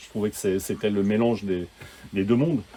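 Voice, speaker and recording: This man's voice has a dark, mellow tone. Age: 60s. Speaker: sound engineer. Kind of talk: casual chat. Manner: halting, many repetitions.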